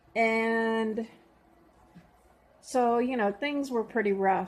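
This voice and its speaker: The woman's voice sits at a fairly high pitch. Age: 60s. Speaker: vlogger documenting weight loss. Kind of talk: personal vlog testimony. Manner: casual with frequent fillers.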